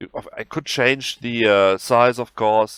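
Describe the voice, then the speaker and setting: In a German accent, a man speaks at medium pitch with fairly even intonation, on a very clean recording with a silent background and a dry, close sound with no echo. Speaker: video game tutorial creator. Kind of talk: tutorial. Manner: halting.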